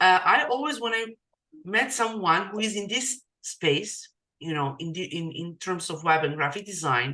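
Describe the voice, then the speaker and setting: A woman's bright, sharp, medium-pitched voice with a non-native accent and very wide pitch swings. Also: moderate pace. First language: not English. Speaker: digital marketing coach, podcast host. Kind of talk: casual interview chat. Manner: halting.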